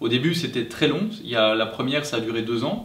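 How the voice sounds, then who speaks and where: At a fairly slow pace, a man speaks with a medium pitch. Audible room echo surrounds his voice. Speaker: family vlogger. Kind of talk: casual chat. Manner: halting.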